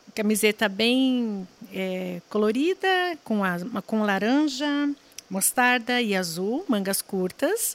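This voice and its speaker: With ordinary pitch variation, a woman speaks in a fairly high voice. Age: 40s. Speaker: pastry chef and gastronomy teacher. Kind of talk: casual interview chat.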